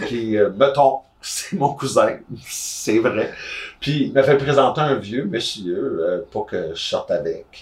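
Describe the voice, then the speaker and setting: A man speaks with a Quebec accent. His pace is very slow. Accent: Québécois French. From Gatineau, Quebec. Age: 30s. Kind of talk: casual chat. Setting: on a sofa, in person.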